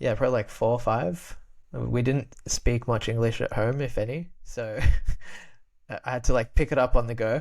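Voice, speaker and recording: A man with an Australian accent speaks at a moderate pace and medium pitch. The recording is very clean, with a silent background. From Australia, Albanian immigrant family. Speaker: podcast guest, creator. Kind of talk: casual chat. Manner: halting, many repetitions.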